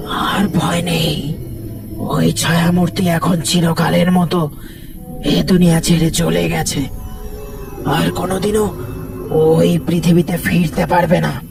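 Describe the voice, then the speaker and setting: A man performs a cartoonish character voice at a fairly slow pace. Loud background noise runs behind him. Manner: grave, admonishing.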